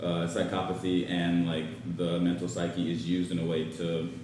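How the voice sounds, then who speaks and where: The speech moves at a moderate pace with audible echo from the room. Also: man. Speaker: student panelist. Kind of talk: panel discussion. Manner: halting, many fillers.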